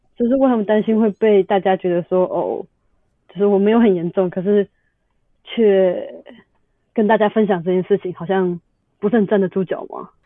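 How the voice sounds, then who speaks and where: The pace is moderate. Long pauses come often. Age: 20s. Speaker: podcast guest, lupus patient. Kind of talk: casual chat.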